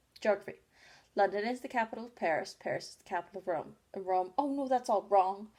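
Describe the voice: The clip is plain reading aloud, with pitch moving in an ordinary way.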